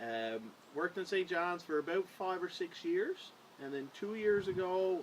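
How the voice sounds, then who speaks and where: In a Newfoundland accent, a man with a high voice speaks at a moderate pace. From Newfoundland, Corner Brook. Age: 20s. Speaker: police officer, council candidate. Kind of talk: interview.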